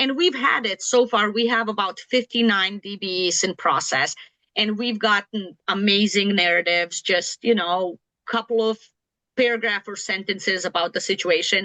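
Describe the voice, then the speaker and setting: A woman talks at a moderate pace in a medium pitch. Her tone is bright and sharp. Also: ordinary pitch variation. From outside the US, immigrated near age 30. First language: not English (English is third language). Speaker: certification office official. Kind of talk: informational Q&A session.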